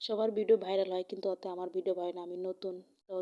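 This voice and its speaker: A woman talks at a medium pitch in a dark, mellow tone with monotone, flat intonation. The sound is dry and close, with no echo. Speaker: cooking vlogger. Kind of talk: cooking tutorial. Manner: not loud, not fast.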